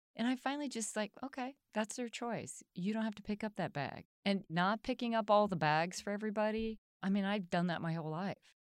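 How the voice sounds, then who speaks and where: A normal speaking voice at a fairly quick pace, with hardly any pauses and ordinary pitch variation. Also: woman, medium pitch for a woman. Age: 60s. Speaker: business owner and cancer survivor. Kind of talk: interview.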